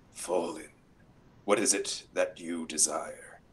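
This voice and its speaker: Putting on a character voice, a man speaks at a fairly slow pace, raspy and fairly low in pitch. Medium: actual play. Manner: cold, imperious, tempting.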